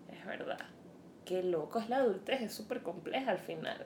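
In a room with audible echo and noticeable background noise, a woman speaks at a fairly slow pace with ordinary pitch variation. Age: 30s. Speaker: podcast co-host. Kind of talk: casual chat.

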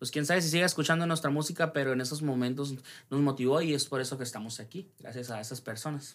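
Speaking at a very fast pace with a northern Mexican accent, a man uses a fairly high pitch and ordinary pitch variation on a very clean recording with a silent background. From Mexico, Sonora (Ciudad Obregón). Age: 20s. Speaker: singer-songwriter and music producer. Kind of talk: casual interview.

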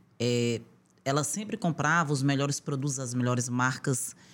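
A woman speaks at a moderate pace. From Brazil, Northeast (Piauí, Rio Grande do Norte). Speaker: aesthetician and entrepreneur. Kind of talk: interview conversation.

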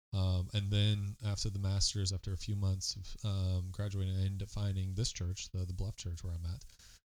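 At a moderate pace comes a normal speaking voice. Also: man. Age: 20s. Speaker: pastor. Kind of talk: casual chat.

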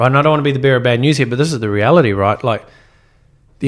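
With a New Zealand accent, a man talks at a medium pitch. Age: young. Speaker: entrepreneur. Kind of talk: casual chat.

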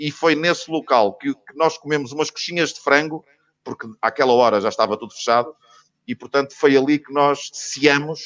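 In a plain, everyday voice, a man with a fairly high pitch speaks at a moderate pace, with ordinary pitch variation, big swings in loudness and a dry, close sound with no echo. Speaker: football radio commentator. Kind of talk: casual chat.

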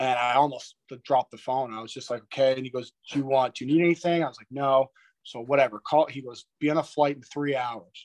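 In an Ontario accent, the speaker goes at a very fast pace with fairly even intonation and big swings in loudness, in a dry, close sound with no echo. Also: man, medium pitch for a man. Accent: Canadian (Ontario). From Toronto, Ontario, Canada. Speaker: retired pro hockey player. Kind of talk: casual interview chat.

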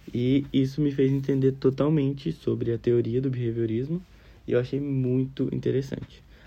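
An unremarkable speaking voice from a man, medium in pitch, with fairly even intonation at a moderate pace. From Brazil, Minas Gerais. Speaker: psychology student. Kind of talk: recorded class assignment. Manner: casual.

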